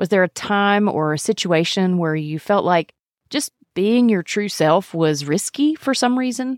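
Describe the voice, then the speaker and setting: In a Mississippi accent, a woman speaks at a fairly slow pace, with a dry, close sound and no echo. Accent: Southern US (Mississippi). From US South, Mississippi. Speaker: podcast host, internal medicine doctor. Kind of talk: scripted narration.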